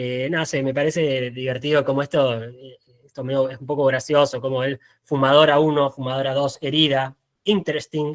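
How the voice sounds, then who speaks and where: A man speaks in a fairly high pitch, his loudness swinging widely. His intonation stays flat and monotone, with a dry, close sound and no echo. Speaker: photographer. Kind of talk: talk presentation. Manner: fast; halting.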